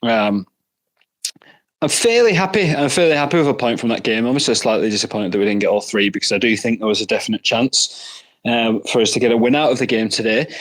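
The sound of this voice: A man talks at a fairly quick pace in a Northern Irish accent. His pitch is medium, his tone fairly bright, and his pitch variation ordinary.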